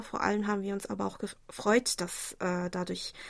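This woman talks at a moderate speed. The background is silent and the recording very clean. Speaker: radio host. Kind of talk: listener mail show, partly reading letters aloud.

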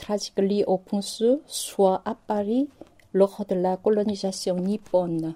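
Very slowly and in a dark, mellow tone, someone speaks with a Korean accent, the sound dry and close with no echo. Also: woman. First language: Korean (speaking French). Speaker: novelist and university lecturer. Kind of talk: interview. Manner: halting.

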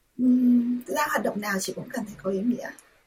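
A woman's voice, somewhat breathy, with ordinary variation in pitch. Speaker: volunteer and interpreter. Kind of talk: radio interview.

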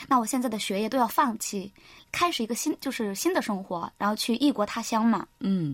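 A woman's fairly high, an unremarkable speaking voice, with lively intonation at a fairly quick pace, on a very clean recording with a silent background. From China, Henan. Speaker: university student. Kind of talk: interview. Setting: studio.

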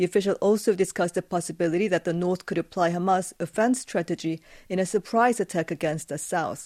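In a very clean recording with a silent background and a dry, close sound with no echo, a woman speaks at a very fast pace with hardly any pauses, medium pitch and fairly even intonation. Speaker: news editor. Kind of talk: news briefing. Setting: studio.

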